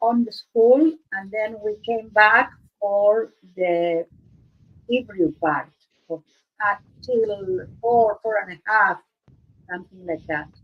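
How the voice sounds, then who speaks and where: With an Argentine accent, a woman speaks very slowly in a fairly high voice, ordinary pitch variation and long, frequent pauses. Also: big swings in loudness. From Argentina. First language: Spanish. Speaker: art livestream host. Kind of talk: casual chat. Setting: live stream. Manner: halting, searching for words.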